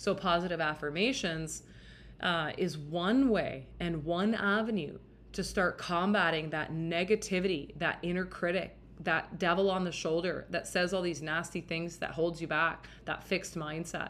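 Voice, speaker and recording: A woman speaks with a Western Canadian accent. Her intonation is fairly even. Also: moderate pace. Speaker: dating and relationship podcast host. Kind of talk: solo podcast monologue. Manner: casual, filler-heavy.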